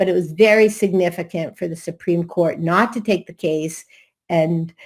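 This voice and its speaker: On a very clean recording with a silent background, a woman with a Massachusetts accent speaks at a moderate pace in a fairly low voice. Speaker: attorney. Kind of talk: conference presentation.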